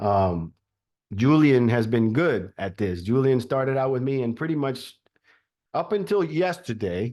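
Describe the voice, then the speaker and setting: A man talks at a medium pitch with lively intonation. The background is quiet. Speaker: real estate team leader and trainer. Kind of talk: training course over video call. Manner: fast.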